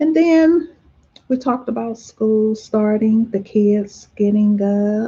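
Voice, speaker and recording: A soft-spoken woman at a very slow pace, fairly high in pitch with a dark, mellow tone, somewhat breathy, with ordinary pitch variation. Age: 50s. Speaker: vlogger. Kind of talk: casual chat. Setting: livestream.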